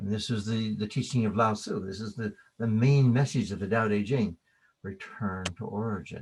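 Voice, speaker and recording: A man's somewhat breathy voice with an American accent, medium in pitch, with ordinary pitch variation at a moderate pace. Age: 60s. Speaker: qigong teacher. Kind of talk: keynote lecture.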